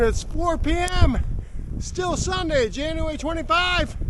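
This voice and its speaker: A man shouting at an extremely high pitch, very slow, with ordinary pitch variation and audible room echo. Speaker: local weather vlogger. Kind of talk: outdoor weather report. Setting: outdoors in a snowstorm. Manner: animated. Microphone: GoPro camera mic, no microphone.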